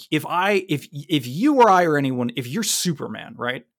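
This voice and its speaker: A man with an American accent and very wide pitch swings, in a very clean recording with a silent background. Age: 30s. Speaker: podcast host. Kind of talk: casual chat. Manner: fast.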